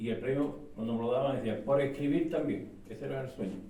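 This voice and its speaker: With audible room echo and noticeable background noise, a man speaks at a fairly quick pace and a medium pitch. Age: 60s. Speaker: author. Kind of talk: book presentation talk. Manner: animated, hesitant with repetitions.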